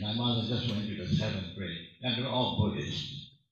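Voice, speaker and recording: The pace is moderate. Room echo can be heard. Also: man. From Hawaii, Maui. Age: 80s+. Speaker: audience member. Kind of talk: personal testimony.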